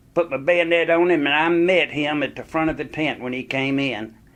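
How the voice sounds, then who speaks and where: Fairly even intonation with a North Carolina accent. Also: man. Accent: Southern US (North Carolina). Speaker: war veteran. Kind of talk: oral history storytelling.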